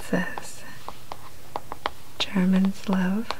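The voice is soft-spoken, with a gentle tone. Noticeable background noise runs underneath it. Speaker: unboxing host. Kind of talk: casual unboxing show-and-tell. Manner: soft-spoken, gentle ASMR voice.

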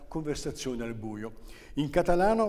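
A man's voice with ordinary pitch variation. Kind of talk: interview answer. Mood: warm, enthusiastic.

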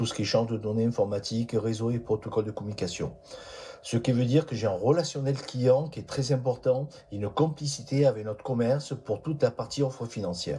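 The speaker talks at a fairly quick pace with ordinary pitch variation. There is light background noise. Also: man. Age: 60s. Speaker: job seeker, engineer. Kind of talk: recorded self-presentation. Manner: formal. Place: home room. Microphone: phone near.

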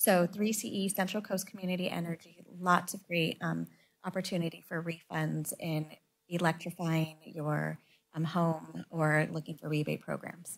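Speaking at a fairly slow pace, a woman with an unremarkable speaking voice keeps a fairly low pitch and fairly even intonation. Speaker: city council member. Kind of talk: council meeting discussion. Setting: council chamber meeting. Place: meeting room. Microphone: podium.

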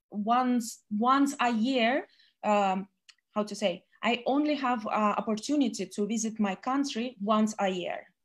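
In a very clean recording with a silent background, a woman talks fairly high with ordinary pitch variation. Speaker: international business presenter, former bartender. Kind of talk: business presentation. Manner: halting.

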